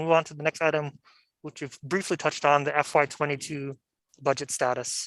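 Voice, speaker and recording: Over a quiet background, the words come at a fairly quick pace. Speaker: commission chair. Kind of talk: formal meeting. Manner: fast.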